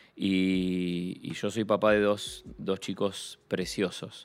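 Over music in the background, a man talks with fairly even intonation in a very deep, low voice. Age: 40s. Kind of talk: casual chat. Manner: halting, repeats words.

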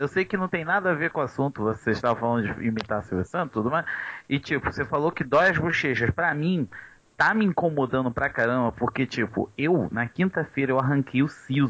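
Speaking in a normal speaking voice, a man talks at a fairly quick pace with fairly high pitch, lively intonation and very even loudness. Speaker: podcast co-host. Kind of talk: casual chat.

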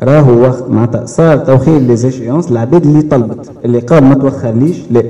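With very even loudness and ordinary pitch variation, a man talks at a fairly quick pace in a medium pitch while noticeable background noise runs behind him. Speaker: bank credit officer. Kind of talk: audience contribution at public meeting.

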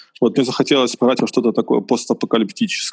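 A man's medium-pitched voice carries vocal fry and fairly even intonation, with a dry, close sound and no echo. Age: 20s. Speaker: architect, podcast guest. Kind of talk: casual chat.

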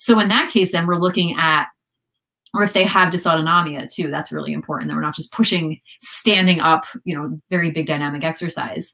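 Speaking at a fairly quick pace, a woman has a fairly low pitch, a bright, sharp tone, vocal fry and ordinary pitch variation. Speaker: physical therapist. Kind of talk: casual interview. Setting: video call.

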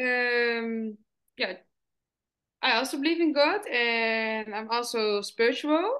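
Against a quiet background, a woman with a Dutch accent speaks at a very slow pace with long, frequent pauses, high pitch, ordinary pitch variation and a bright, sharp tone. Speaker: podcast host. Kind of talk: interview conversation. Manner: halting.

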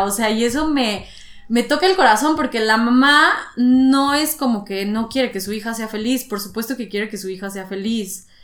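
This woman talks at a moderate pace in a fairly high voice with ordinary pitch variation, and there is noticeable background noise. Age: 20s. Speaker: podcast host. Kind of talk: casual chat.

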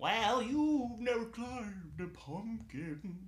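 A man's put-on character voice, high in pitch and at a very slow pace. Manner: ridiculous, exaggerated.

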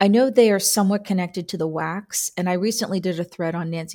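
In a very clean recording with a silent background, a woman speaks at a fairly quick pace. Her fairly low voice has a dark, mellow tone. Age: 40s. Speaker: podcast host, military historian. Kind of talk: interview.

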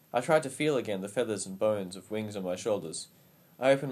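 Here the delivery is plain reading aloud, marked by lively intonation.

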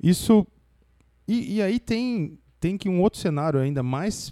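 A man's dark, mellow voice with lively intonation at a fairly slow pace, in a very clean, dry, close recording with no echo and a silent background. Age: young. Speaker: podcast host, engineer. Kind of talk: casual chat. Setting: studio.

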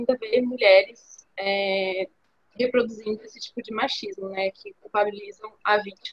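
A woman with a normal speaking voice, fairly high in pitch, at a moderate pace with ordinary pitch variation. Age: 20s. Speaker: university student, podcast co-host. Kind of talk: casual interview chat.

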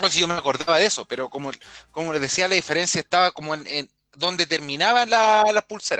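A man's high voice in a Chilean accent at a very fast pace, with ordinary pitch variation and music in the background. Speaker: podcast co-host. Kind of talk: casual chat. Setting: home, online live stream.

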